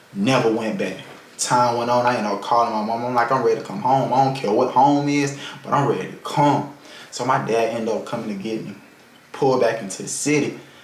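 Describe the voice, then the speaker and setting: A man talks very fast over noticeable background noise, with audible echo from the room. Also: medium pitch for a man, ordinary pitch variation. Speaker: vlogger. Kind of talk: personal life story. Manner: casual.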